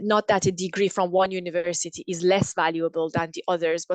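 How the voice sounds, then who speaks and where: A Persian accent comes through in a flat, monotone delivery, recorded dry and close with no echo. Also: woman. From Iran. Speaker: engineer. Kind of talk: interview. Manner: halting, frequent repetitions.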